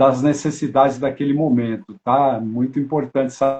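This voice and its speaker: A man's voice with ordinary pitch variation. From São Paulo, Brazil. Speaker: family constellation facilitator and live-stream host. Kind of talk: live-stream interview.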